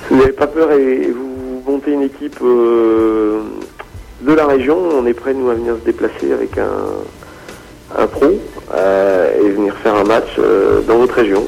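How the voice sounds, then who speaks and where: Music plays in the background as a man speaks. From Brittany, France (Rennes). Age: 40s. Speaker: basketball media founder. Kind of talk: casual radio interview.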